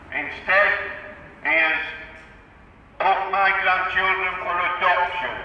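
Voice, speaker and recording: Monotone, flat delivery at a fairly slow pace, with audible room echo and noticeable background noise. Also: man. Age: 60s. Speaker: protester, grandparent campaigning against adoption. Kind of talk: protest speech to passers-by. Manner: emphatic, forceful.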